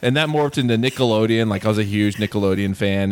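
A man with an American accent has an unremarkable speaking voice, pitched fairly low. His intonation is fairly even, and the recording is very clean with a silent background. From US South, North Carolina. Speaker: film podcaster. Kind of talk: casual chat.

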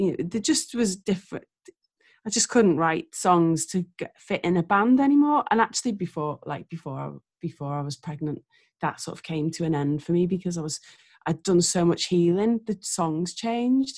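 At a moderate pace, a woman with an ordinary speaking voice talks at a fairly low pitch with lively intonation, the sound dry and close with no echo. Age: 40s. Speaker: singer-songwriter. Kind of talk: casual chat.

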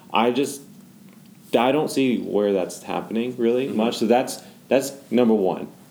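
Speaking at a moderate pace with ordinary pitch variation, a man uses a medium pitch and a dark, mellow tone, with audible room echo around him. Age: 20s. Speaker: founder of a young adult ministry. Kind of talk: casual chat.

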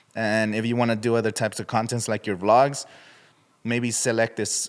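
Very clean recording against a silent background, in an American accent. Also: man. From US West Coast, Coachella Valley, California. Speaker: YouTuber and podcaster. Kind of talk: casual interview chat.

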